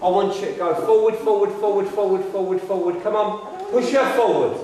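Light background noise and strong room echo accompany speech at a moderate pace. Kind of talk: ghost hunt séance. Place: empty room. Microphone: camera far.

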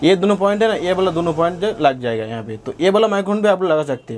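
Very fast and high-pitched, a man speaks with lively intonation and a slightly mellow tone.

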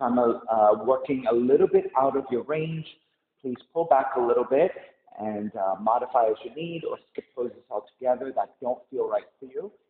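Ordinary pitch variation amid audible room echo. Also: man, moderate pace. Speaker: yoga teacher. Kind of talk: class introduction. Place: gym. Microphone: camera far.

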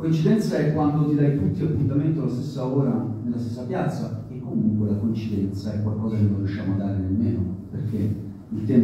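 A man talks at a very fast pace with ordinary pitch variation. Strong room echo and light background noise surround him. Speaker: factory worker activist. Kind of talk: panel discussion. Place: hall.

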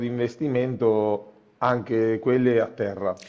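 A man speaking at a fairly slow pace against a quiet background. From Italy, Macerata (Marche); Marche, Italy. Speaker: local politician. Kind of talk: interview. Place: office. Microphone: earbuds.

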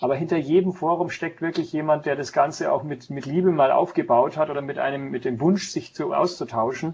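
The speaker is somewhat breathy, moving at a fairly quick pace with ordinary pitch variation. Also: man. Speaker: guest. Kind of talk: interview answer. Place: office.

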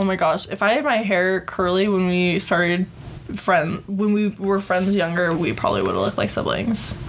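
A woman with an American accent speaks at medium pitch in very even loudness and fairly even intonation, with noticeable background noise. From Utah. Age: 20s. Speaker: podcast host. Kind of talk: casual chat. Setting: home recording with guests. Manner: fast.

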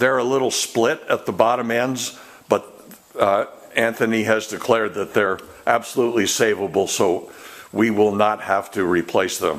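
This man keeps his intonation fairly even. His pace is moderate. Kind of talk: project update commentary. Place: workshop. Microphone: phone near.

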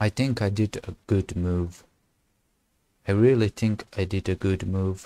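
Over a quiet background, with a dry sound and no echo, a man with a dark, mellow tone speaks fairly slowly in a fairly low voice, with fairly even intonation and long, frequent pauses. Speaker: chess streamer. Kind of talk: gameplay commentary. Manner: halting.

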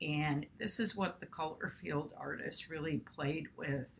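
Light background noise sits behind a woman whose very deep, low voice carries vocal fry and a calm, soothing tone. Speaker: art teacher and video host. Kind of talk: guided meditation; casual educational talk. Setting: studio, video. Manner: slow, calm, soothing. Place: home room. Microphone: webcam.

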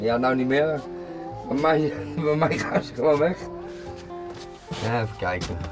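Clear music plays in the background as a man speaks at a fairly slow pace with ordinary pitch variation. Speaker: documentary subject. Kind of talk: casual talk to camera. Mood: cheerful, joking. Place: home room.

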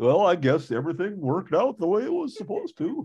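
Using a put-on character voice, a man talks at a very fast pace and a high pitch with very wide pitch swings. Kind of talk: casual livestream chat.

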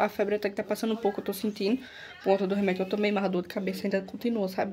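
A woman sounds tired, her intonation monotone and flat, with light background noise behind her. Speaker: vlogger. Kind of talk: casual vlog chat. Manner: weak, tired sick voice. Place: home room. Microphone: phone near.

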